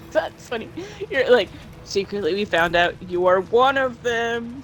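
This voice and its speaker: Over noticeable background noise, a woman with a fairly high pitch talks at a fairly slow pace with lively intonation. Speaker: schoolteacher. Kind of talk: casual chat. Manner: loud; projecting voice.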